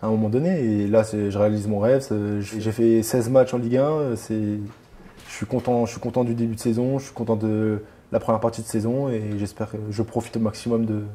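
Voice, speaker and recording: Fairly even intonation, a dark, mellow tone and a fairly quick pace. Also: man, medium pitch for a man. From France, Reims. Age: 20s. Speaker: professional footballer. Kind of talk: interview. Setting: at his home.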